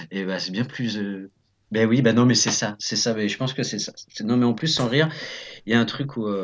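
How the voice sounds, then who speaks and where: A man talks at a fairly quick pace with long, frequent pauses, his medium-pitched voice keeping a fairly even intonation. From France, Nantes area. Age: 30s. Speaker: improv actor. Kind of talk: casual interview. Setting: remote call. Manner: hesitant, many fillers.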